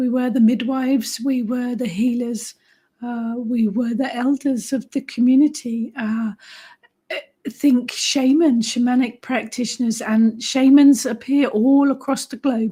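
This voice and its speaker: A woman speaks at a high pitch and a fairly slow pace. Her intonation stays monotone and flat. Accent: English. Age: 50s. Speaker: witch and author, live stream host. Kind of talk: live stream chat reading comments.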